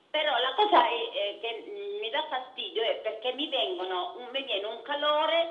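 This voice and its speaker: A woman's fairly slow speech with very wide pitch swings and audible room echo. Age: 70s. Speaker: caller, wheelchair user. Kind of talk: phone-in question. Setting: phone call. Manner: halting.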